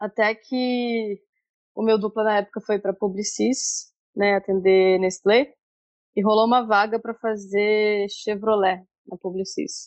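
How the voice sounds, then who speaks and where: This is a normal speaking voice at a fairly slow pace, with ordinary pitch variation. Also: woman. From Brazil, Brasília. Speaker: advertising copywriter. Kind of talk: interview. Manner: casual.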